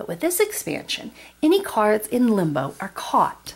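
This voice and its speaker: Fairly slow, somewhat breathy speech from a woman with a warm tone and very wide pitch swings. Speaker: board game video creator. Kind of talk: tutorial. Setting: at home, tabletop. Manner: warm, friendly. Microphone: camera far.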